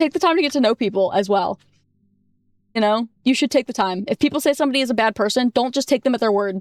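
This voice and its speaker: Loud and animated, a woman speaks at a very fast pace yet with long, frequent pauses, her high pitch and lively intonation heard in a dry, close sound with no echo. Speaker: vtuber streamer. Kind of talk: casual chat.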